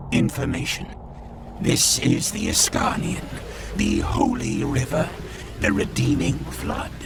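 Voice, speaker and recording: Against loud background noise, a man puts on a character voice and speaks at a fairly slow pace. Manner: clipped, mechanical.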